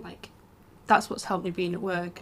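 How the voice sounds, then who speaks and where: With a northern English accent, a woman talks at a medium pitch and a moderate pace. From England. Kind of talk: casual podcast conversation.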